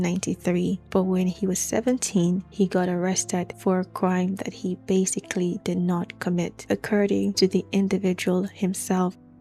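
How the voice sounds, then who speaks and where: A woman talks at a medium pitch and a moderate pace, with fairly even intonation, while music plays in the background. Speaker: podcast host. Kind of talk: true crime storytelling. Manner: halting, measured word by word.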